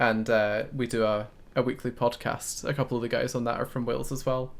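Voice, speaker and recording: In a slight Scottish accent, a man speaks at a fairly quick pace with medium pitch and monotone, flat intonation. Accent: Scottish, mild. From Scotland. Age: 20s. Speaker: gaming streamer. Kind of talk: live game stream commentary. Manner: sometimes stumbles over words.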